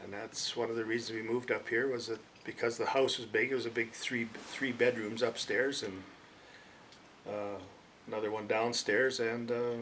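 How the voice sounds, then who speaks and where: Against noticeable background noise, a man with a western Canadian accent speaks at a moderate pace and medium pitch in a monotone, flat intonation. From Alberta, Canada. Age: 70s. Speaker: local resident interviewee. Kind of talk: oral history interview. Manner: hesitant, many fillers.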